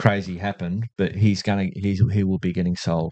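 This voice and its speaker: With an Australian accent, a man speaks at a moderate pace and a fairly low pitch. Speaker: podcast host. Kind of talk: casual chat.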